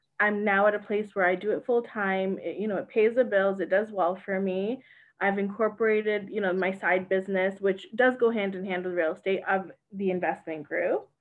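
Her voice is an ordinary speaking voice, a woman's at medium pitch, moving at a moderate pace with fairly even intonation. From Canada, Mississauga. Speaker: realtor and investor. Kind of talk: interview.

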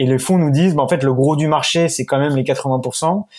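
Dark and mellow in tone, a man talks at a very fast pace. His intonation stays fairly even. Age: 20s. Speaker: startup founder. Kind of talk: interview. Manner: halting.

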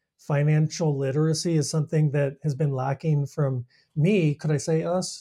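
Dry and close with no echo, this man's voice has a dark, mellow tone, a fairly high pitch and a somewhat breathy quality. He keeps a moderate pace, fairly even intonation and very even loudness. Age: 40s. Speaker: podcast host. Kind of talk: casual chat.

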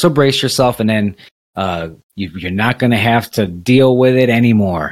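Here is a man with an unremarkable speaking voice. He talks at a moderate pace, with medium pitch and ordinary pitch variation. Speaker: podcast host. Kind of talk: casual chat.

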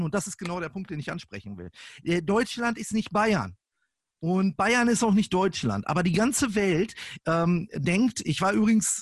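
A man speaks at a moderate pace in a high voice, his delivery animated and his intonation lively, with a dry, close sound, no echo and a quiet background. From northern Germany, Lippe (Kalletal). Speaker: podcast guest. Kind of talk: casual chat.

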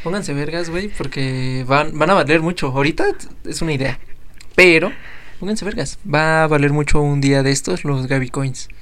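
Audible room echo surrounds a man speaking at a fairly high pitch. He keeps a moderate pace and ordinary pitch variation. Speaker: podcast host. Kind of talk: casual chat.

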